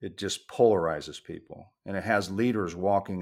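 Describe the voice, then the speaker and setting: In a very clean recording with a silent background, a man talks at a moderate pace with fairly even intonation. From United States, Puerto Rican father and Kentucky mother. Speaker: cultural communications consultant and author. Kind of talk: interview.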